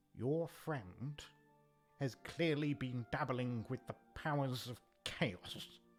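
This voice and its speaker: Quiet and very slow, this put-on character voice sits at a low-to-middle pitch over faint background music. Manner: lowered, hushed.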